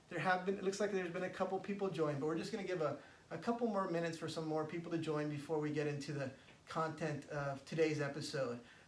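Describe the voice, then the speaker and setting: Over noticeable background noise and audible room echo, a man with an American accent and a fairly high pitch speaks at a very fast pace with ordinary pitch variation. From California, San Francisco. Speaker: spiritual coach. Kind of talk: live stream talk. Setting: Facebook live stream. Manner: halting, many fillers.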